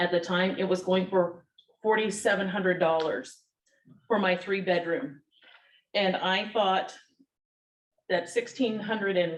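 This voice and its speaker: Fairly slow and with long, frequent pauses, a woman talks at medium pitch. Her intonation remains fairly even. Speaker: tenant advocate. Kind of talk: reading aloud.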